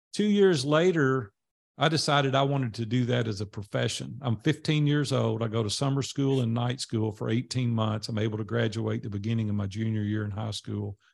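A man with a Tennessee accent talks at a fairly quick pace in a medium pitch. His pitch varies in an ordinary way on a very clean recording with a silent background. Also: hardly any pauses. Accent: Southern US (Tennessee). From US South, Nashville, Tennessee. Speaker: entrepreneur and mastermind group leader. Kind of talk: interview storytelling.

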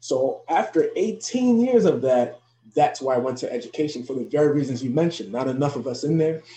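This man's voice has a dark, mellow tone and is somewhat breathy. He talks at a fairly quick pace. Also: fairly high pitch for a man, lively intonation. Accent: American. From New Jersey, US. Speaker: professor and youth educator. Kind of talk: interview.

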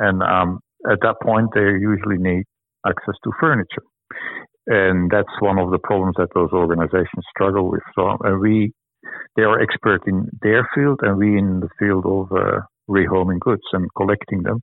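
A man speaks at a moderate pace with a fairly low pitch, fairly even intonation and very even loudness. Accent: Flemish. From Belgium. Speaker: reuse and repair charity manager. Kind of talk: interview. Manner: halting, many fillers.

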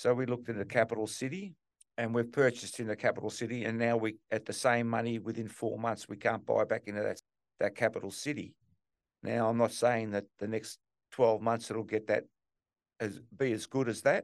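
A man talks with an Australian accent. His pace is fairly quick and his intonation fairly even. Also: medium pitch for a man. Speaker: real estate investor. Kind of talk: interview.

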